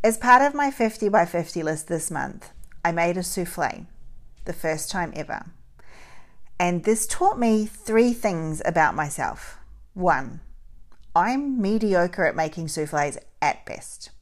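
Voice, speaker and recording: With lively intonation, a woman at medium pitch talks at a fairly slow pace, leaving long, frequent pauses. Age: 40s. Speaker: podcast host. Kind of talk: solo podcast monologue.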